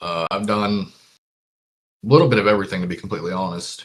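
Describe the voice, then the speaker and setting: Speaking at a moderate pace, a man keeps a deadpan tone and a fairly low pitch. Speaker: musician, songwriter. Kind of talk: casual interview.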